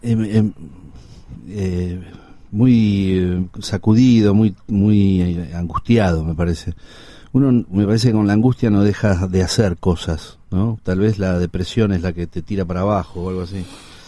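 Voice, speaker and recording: A man speaks at a fairly slow pace with a Rioplatense accent. His pitch is fairly low, and his intonation stays fairly even. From Buenos Aires, Argentina (Villa Crespo). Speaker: actor and filmmaker. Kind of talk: interview conversation.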